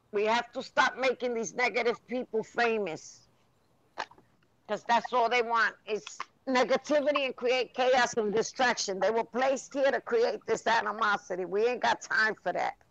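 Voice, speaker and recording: An ordinary speaking voice with an American accent, at a moderate pace with ordinary pitch variation. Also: woman, fairly high pitch for a woman. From New York City (East Harlem). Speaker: live stream host. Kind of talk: casual chat.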